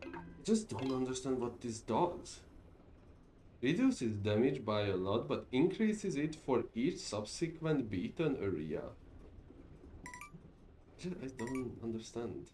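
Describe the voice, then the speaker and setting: Speaking very slowly at a medium pitch, a man sounds somewhat breathy, his pitch swinging very widely against audible room echo. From Hungary. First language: Hungarian. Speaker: streamer. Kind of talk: casual gameplay stream commentary. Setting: live stream. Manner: halting, frequent repetitions and fillers.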